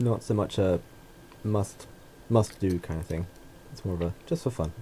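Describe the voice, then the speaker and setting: A man with an English accent speaks at a moderate pace in a very deep, low voice that is dark, mellow and somewhat breathy, with ordinary pitch variation. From England. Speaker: podcast co-host. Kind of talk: casual chat.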